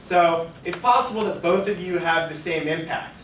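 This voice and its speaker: A man speaks loudly at a fairly slow pace in a high pitch, with audible room echo and noticeable background noise. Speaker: debate coach. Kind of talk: lecture. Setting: lecture room. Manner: casual.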